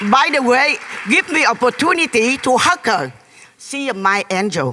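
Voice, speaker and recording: The speaker has a Vietnamese accent and a moderate pace, with noticeable background noise behind the voice. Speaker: audience member, former refugee and nurse. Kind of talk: emotional testimony. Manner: animated.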